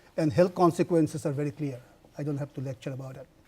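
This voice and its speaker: A man's dark, mellow tone. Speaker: professor. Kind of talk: lecture.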